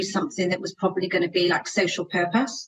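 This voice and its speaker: Speaking with a Bristol accent, a woman talks at a very fast pace with a medium pitch and ordinary pitch variation. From Bristol, England. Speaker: housing association chief executive. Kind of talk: podcast interview.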